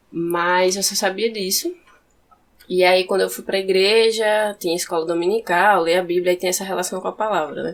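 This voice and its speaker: Speaking at a moderate pace, a woman of medium pitch keeps a monotone, flat intonation. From interior of Rio Grande do Norte, Brazil. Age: 20s. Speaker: poet and philosophy student. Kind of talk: podcast interview.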